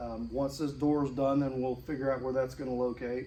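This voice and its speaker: The voice mumbles in a dark, mellow tone. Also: man. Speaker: car restoration hobbyist. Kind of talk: tutorial. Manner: mumbling; halting.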